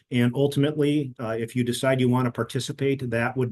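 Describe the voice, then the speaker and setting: The speaker has an American accent and a dark, mellow tone. The pace is very fast. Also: man. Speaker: company founder presenting software. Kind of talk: webinar product presentation. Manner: many filler words (uh); fairly quick.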